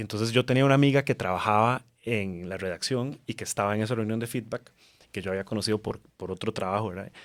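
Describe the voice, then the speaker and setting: On a very clean recording with a silent background, a man with a fairly low pitch talks at a very fast pace with ordinary pitch variation. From Costa Rica. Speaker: TV journalist. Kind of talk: casual chat.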